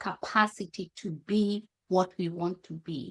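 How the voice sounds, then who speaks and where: In a very clean recording with a silent background, a woman speaks with a Kenyan accent and ordinary pitch variation. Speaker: happiness consultant and coach. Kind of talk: podcast interview. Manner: halting, frequent self-corrections.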